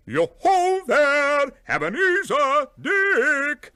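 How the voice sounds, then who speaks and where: Speaking at a very slow pace, the man adopts a put-on character voice. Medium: read story. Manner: hearty, exuberant.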